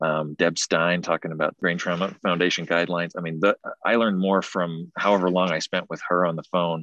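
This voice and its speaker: A man's very deep, low voice with a bright, sharp tone, monotone, flat intonation and a fairly quick pace. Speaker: trauma surgeon, former podcast host. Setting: outdoors, hiking on phone/video call with wind noise.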